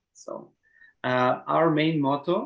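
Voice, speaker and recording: The speaker is a man. He has a Slavic accent. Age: 30s. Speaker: HR manager. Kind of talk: Q&A session. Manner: halting.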